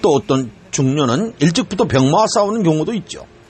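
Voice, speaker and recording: A man's pitch swings very widely while noticeable background noise plays underneath. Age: 60s. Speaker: pastor. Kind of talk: sermon. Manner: formal.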